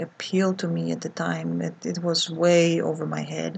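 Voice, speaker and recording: A woman speaks with a Polish accent and fairly even intonation. Her voice is somewhat breathy. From Poland. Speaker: art vlogger. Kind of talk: casual vlog monologue. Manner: hesitant, many fillers.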